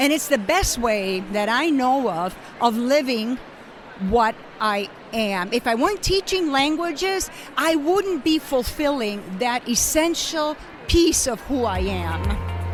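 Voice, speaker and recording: Very slowly, a woman speaks in a high pitch with very wide pitch swings, over noticeable background noise. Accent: Spanish. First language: Spanish. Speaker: language educator. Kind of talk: interview.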